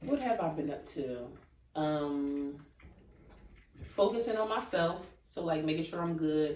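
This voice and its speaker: A woman speaks at a fairly slow pace with long, frequent pauses and lively intonation. Her pitch is very deep and low, and the room echo is audible. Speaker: podcast co-host. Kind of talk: casual chat. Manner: laughing.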